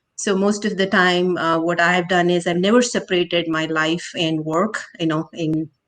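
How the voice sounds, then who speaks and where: Her pitch fairly low, a woman speaks at a moderate pace in a monotone, flat intonation. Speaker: tech company co-founder. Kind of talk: interview. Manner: halting, many fillers.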